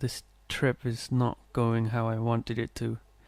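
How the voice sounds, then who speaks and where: A soft-spoken man talks at a medium pitch. His tone is dark and mellow. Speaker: ASMR reader. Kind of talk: soft-spoken ASMR story reading. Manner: soft-spoken, quiet.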